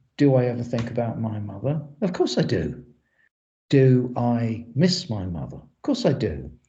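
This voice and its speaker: A man with an English accent speaks at a fairly slow pace in a dark, mellow, somewhat breathy tone, with audible room echo. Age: 60s. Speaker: exhumation specialist. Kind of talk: lecture.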